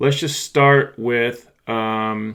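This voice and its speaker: An unremarkable speaking voice from a man, with ordinary pitch variation. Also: very clean recording, silent background. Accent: American. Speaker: history teacher. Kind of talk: lecture.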